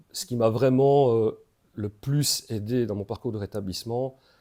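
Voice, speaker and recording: On a very clean recording with a silent background, a man with a dark, mellow tone speaks at a fairly slow pace. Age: 40s. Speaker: peer support worker, recovering addict. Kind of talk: interview testimony. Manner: hesitant, many fillers.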